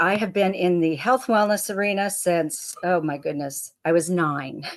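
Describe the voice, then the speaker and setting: Using an unremarkable speaking voice, a woman talks at a moderate pace and medium pitch, with lively intonation and hardly any pauses. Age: 60s. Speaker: health and income coach. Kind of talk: presentation. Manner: casual, conversational.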